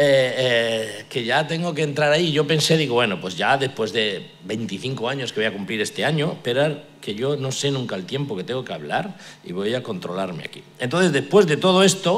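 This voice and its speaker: A man's medium-pitched voice with lively intonation, at a moderate pace with hardly any pauses, amid noticeable background noise and audible room echo. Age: 60s. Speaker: pastor. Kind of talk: sermon. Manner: halting.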